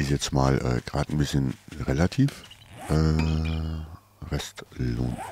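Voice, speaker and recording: Very deep, low male voice at a very slow pace, fairly even intonation, long and frequent pauses, and noticeable background noise. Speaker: gaming YouTuber. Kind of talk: casual let's play commentary.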